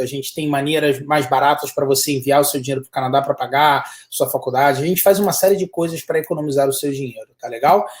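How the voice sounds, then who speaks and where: Barely pausing, a man talks at a very fast pace in a somewhat breathy, fairly high voice. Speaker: study abroad consultant. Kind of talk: live webinar chat. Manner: animated.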